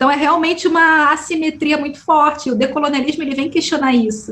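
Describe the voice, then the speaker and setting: Delivered fairly quickly, the speech competes with noticeable noise in the background. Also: woman. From Brazil, Rio de Janeiro suburbs. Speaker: podcaster and researcher. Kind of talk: interview conversation.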